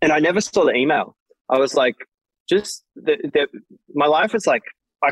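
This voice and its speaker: This speaker talks with an Australian accent. Delivery moves at a fairly quick pace. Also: man, dry, close sound with no echo. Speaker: electronic music DJ and producer. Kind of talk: interview.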